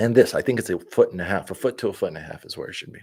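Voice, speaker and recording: A man talks at a medium pitch. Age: 30s. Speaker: independent political candidate and news commentator. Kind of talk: reading news aloud with casual commentary. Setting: home production studio. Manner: fast.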